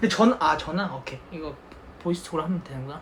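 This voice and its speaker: A man at a very fast pace with very wide pitch swings, against noticeable background noise. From Gyeonggi Province, South Korea. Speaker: K-pop idol. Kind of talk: casual livestream talk.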